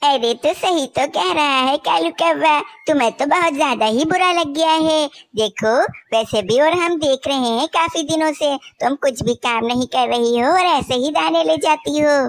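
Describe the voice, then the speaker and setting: A cartoonish character voice, female-sounding and high-pitched. She talks at a moderate pace. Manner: taunting, smug.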